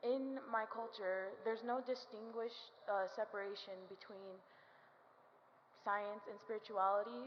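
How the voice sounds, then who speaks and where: Audible room echo surrounds a woman speaking fairly slowly at a medium pitch, with ordinary pitch variation. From Navajo Nation, US Southwest. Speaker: student speaker. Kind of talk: speech to audience. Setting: stage with audience. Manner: halting.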